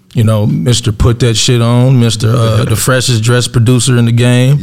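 A man speaks at medium pitch and a moderate pace. His loudness is very even, and there is noticeable background noise. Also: fairly even intonation. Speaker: podcast co-host; cannabis company owner. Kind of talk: casual, slangy.

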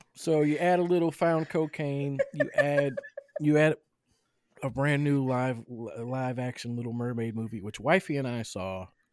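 The recording is very clean with a silent background. A man with a Mississippi accent speaks at a moderate pace with ordinary pitch variation. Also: fairly high pitch for a man. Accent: Southern US (Mississippi). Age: 40s. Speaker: podcast host. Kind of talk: casual chat.

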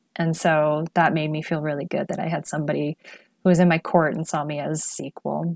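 Dry and close with no echo, a woman's very deep, low voice moves at a fairly quick pace in a monotone, flat intonation. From Netherlands, also UK and Prague. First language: multilingual: English, Dutch, Chinese. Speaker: MBA student and former PR professional. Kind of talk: podcast interview.

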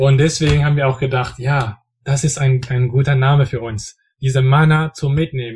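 A man talks at a moderate pace in a flat, monotone way. His medium-pitched voice is somewhat breathy. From French-speaking region. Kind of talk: casual Bible discussion. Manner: halting, many fillers.

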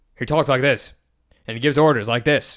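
Put-on character voice from a man at a medium pitch and very fast pace, in a very clean recording with a silent background. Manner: stern, commanding.

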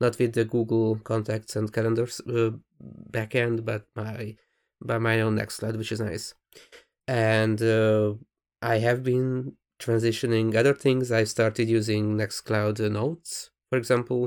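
At a fairly slow pace, a man with a Hungarian accent speaks at a medium pitch in a monotone, flat intonation. The recording is very clean, with a silent background. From Hungary. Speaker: podcast co-host. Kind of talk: casual chat.

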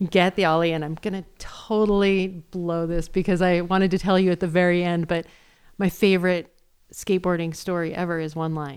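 A normal speaking voice at a moderate pace with fairly even intonation, captured in a very clean recording against a silent background. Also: woman. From Great Falls, Montana. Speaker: filmmaker and skateboarder. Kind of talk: personal storytelling.

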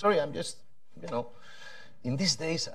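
A man speaks with a Spanish accent. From Spain. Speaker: policy panelist. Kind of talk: panel discussion.

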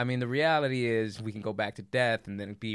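In an American accent, a man with an ordinary speaking voice talks at a fairly quick pace, his pitch fairly low and his intonation fairly even. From Los Angeles, West Side. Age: 30s. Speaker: guest. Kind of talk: casual chat. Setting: studio.

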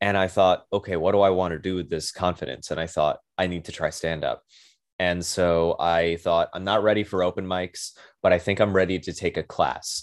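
Over a quiet background, the speaker uses an American accent, fairly even intonation and a moderate pace. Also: man, very deep, low pitch for a man. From Brooklyn, New York. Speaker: comedian. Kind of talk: casual chat.

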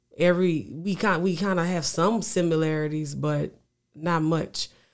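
A man with a Louisiana accent at a fairly slow pace. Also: very clean recording, silent background. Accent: Louisiana Southern US, noticeable. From Louisiana, US; Lafayette, Louisiana. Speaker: singer-songwriter. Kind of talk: casual interview chat. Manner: repetitive, stammering phrases, laid-back.

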